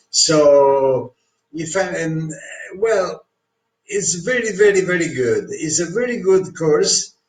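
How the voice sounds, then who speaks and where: A man speaks in a strong Italian accent. He goes at a fairly slow pace with lively intonation. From Italy. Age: 60s. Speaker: course customer reviewer. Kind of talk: testimonial review. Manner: hesitant, many fillers.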